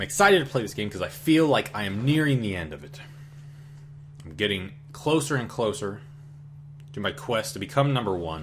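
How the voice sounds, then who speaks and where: A man at a medium pitch talks at a fairly quick pace, with very wide pitch swings, big swings in loudness, and long, frequent pauses. Audible room echo and noticeable background noise surround him. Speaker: gaming YouTuber. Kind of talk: gameplay commentary. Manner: animated.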